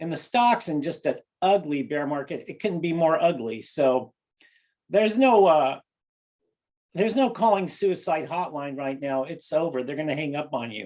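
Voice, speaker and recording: A man with a fairly high voice, lively intonation and a moderate pace. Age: 60s. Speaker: money manager and market commentator. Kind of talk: casual market commentary monologue. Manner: animated.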